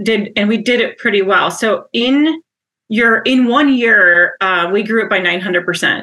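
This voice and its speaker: Using ordinary pitch variation, a woman with an Upper Midwest accent talks at a moderate pace in a fairly high voice. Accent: Upper Midwest American. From Wisconsin (Wausau, central). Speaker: HR company president. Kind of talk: interview conversation.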